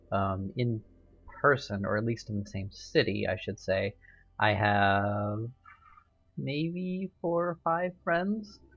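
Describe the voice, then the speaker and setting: Over music in the background, a speaker with an American accent goes at a fairly slow pace with ordinary pitch variation. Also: man. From US South. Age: 20s. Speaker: vlogger. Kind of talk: casual monologue vlog. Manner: hesitant, many fillers.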